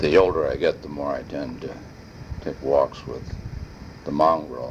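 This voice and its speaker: A man speaks at a fairly slow pace with big swings in loudness. Background noise is noticeable. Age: 60s. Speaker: family elder recording family history. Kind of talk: personal oral history monologue. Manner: rambling with filler hesitations.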